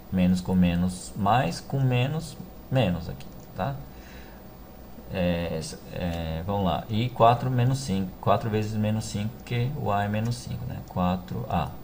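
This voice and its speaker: The voice moves through very wide pitch swings at a fairly slow pace, with long, frequent pauses. Room echo is audible. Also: man, very deep, low pitch for a man. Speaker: math teacher. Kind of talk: tutorial. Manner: halting.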